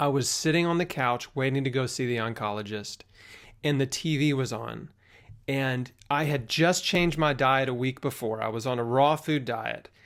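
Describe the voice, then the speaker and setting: A man speaks in a normal speaking voice at medium pitch with ordinary pitch variation. The recording is very clean with a silent background, and the pace is moderate. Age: 30s. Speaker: health podcast host, cancer survivor. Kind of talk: interview. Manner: casual.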